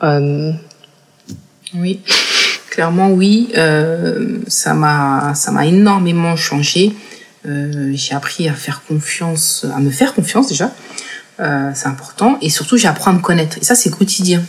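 Very slowly and with long, frequent pauses, a woman speaks at a fairly low pitch with lively intonation amid noticeable background noise. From France, Paris region (Seine-Saint-Denis). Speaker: entrepreneur, incubator founder. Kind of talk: interview. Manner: halting, many hesitations and repetitions.

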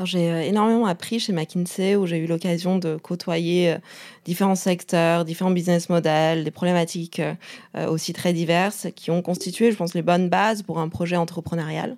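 Intonation stays fairly even as the words move at a moderate speed. The background is silent and the recording very clean. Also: woman, fairly low pitch for a woman. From China. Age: 30s. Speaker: startup co-founder. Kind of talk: interview. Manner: halting.

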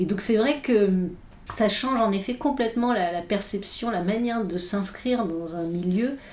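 The speech moves at a fairly slow pace with ordinary pitch variation and audible room echo. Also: woman, medium pitch for a woman. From Irish mother, multilingual upbringing. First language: English (speaking French). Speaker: philosopher and author. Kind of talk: interview conversation. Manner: halting, many hesitations.

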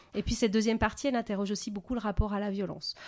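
A woman's dark, mellow tone is heard against a quiet background. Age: 40s. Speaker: author. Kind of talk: interview.

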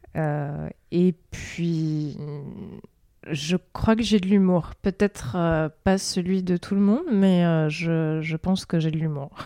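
A woman's very slow, fairly low voice, with fairly even intonation, a dark, mellow tone, and a dry, close sound free of echo. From southeastern France (Provence). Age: 30s. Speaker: podcast guest, freelance worker for cultural institutions. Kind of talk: casual interview. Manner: hesitant, many fillers.

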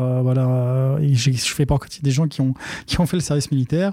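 Fairly quickly, a man speaks in a dark, mellow tone. His voice is somewhat breathy, his intonation fairly even. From Paris suburbs, Seine-Saint-Denis (Aubervilliers). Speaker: entrepreneur, data center company CEO. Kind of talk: interview.

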